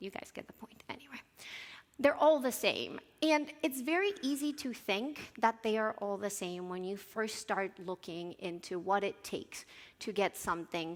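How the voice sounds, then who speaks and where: A woman with a Spanish accent talks at a moderate pace in a medium pitch. Her intonation is lively, and her loudness swings widely. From Colombia. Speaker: software localization engineer, conference speaker. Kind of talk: conference talk.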